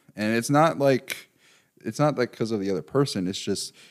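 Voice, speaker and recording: A man speaks at a moderate pace, medium in pitch with ordinary pitch variation, in an ordinary speaking voice. The recording is very clean, with a silent background. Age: 20s. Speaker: mental health practitioner. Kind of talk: casual chat.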